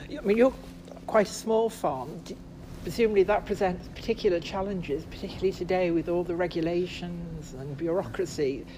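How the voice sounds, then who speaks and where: A woman with a normal speaking voice, fairly low in pitch, with ordinary pitch variation and a fairly quick pace. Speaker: interviewer, podcast team member. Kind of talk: interview with scripted narration. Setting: on location at a farm.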